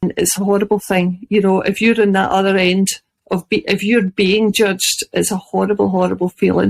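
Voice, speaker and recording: At a fairly quick pace, a woman speaks in a monotone, flat way at medium pitch, the sound dry and close with no echo. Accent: Scottish. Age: 50s. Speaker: chronic illness blogger. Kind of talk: interview.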